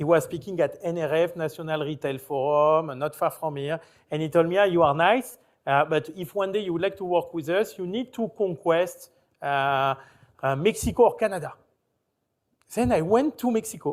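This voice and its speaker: With a French accent, a man speaks at a moderate pace in a high voice with ordinary pitch variation, recorded very cleanly against a silent background. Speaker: company founder, panelist. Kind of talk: panel discussion. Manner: halting.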